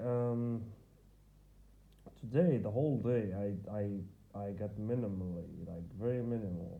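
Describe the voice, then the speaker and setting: A man with an Arabic accent talks at a fairly slow pace. His pitch is fairly low, and the room echo is audible. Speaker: vlogger. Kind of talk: personal video diary. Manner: halting.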